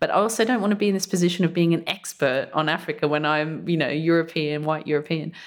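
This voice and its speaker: A woman talks at a very fast pace with hardly any pauses, her pitch fairly low. Her loudness stays very even, and her pitch moves in an ordinary way. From Australia, outback mining town. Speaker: journalist and writer, essay prize winner. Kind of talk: interview. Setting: on location in a college.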